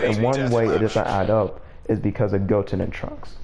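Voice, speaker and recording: A man talks fairly slowly, and the room's echo is audible around him. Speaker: gaming YouTuber. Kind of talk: casual monologue video. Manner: halting, filler-heavy.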